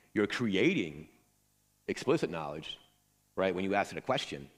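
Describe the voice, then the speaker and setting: Very deep, low male voice with lively intonation. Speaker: conference speaker. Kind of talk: conference talk; audience Q&A. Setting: stage with audience. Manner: fast.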